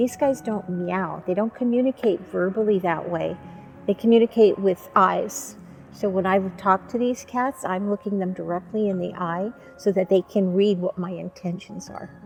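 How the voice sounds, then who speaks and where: Music plays in the background as a woman speaks at a moderate pace in a medium pitch. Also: ordinary pitch variation. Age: 70s. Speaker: animal sanctuary volunteer, retired educator. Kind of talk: documentary interview.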